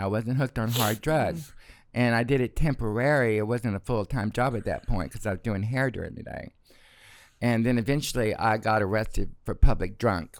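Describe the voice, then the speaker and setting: The pace is moderate with ordinary pitch variation. The recording is very clean, with a silent background. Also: man, medium pitch for a man. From Arkansas, US South. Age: 60s. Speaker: retired celebrity hairstylist. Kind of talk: casual chat. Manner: animated.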